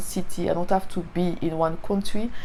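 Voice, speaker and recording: A woman with a French accent speaks fairly slowly in a dark, mellow tone with fairly even intonation. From Martinique. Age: 30s. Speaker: faith content creator. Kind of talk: testimony. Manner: halting.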